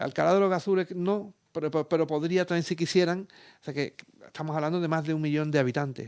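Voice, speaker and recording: At a very fast pace, a man talks with fairly high pitch and fairly even intonation. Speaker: geographer and environmental consultant. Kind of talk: radio interview. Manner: hesitant, many fillers and repetitions.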